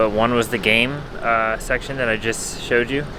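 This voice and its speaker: There is noticeable background noise. Over it, a man talks at a medium pitch. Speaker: travel vlogger. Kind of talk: casual vlog talk to camera. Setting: airport terminal.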